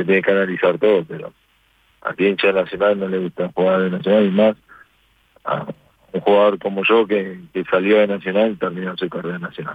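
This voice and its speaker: Fairly quick and monotone, a man speaks with flat intonation at a very deep, low pitch. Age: 40s. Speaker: football goalkeeper. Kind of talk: interview.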